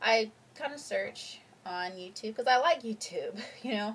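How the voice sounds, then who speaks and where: A woman speaks softly. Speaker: vlogger. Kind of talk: personal vlog testimony. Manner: soft-spoken; halting.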